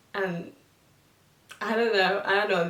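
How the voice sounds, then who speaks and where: Over noticeable background noise, a woman talks at medium pitch in a flat, monotone delivery. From Thailand, Bangkok. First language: Thai. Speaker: vlogger. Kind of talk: casual vlog talk to camera. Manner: halting, many fillers.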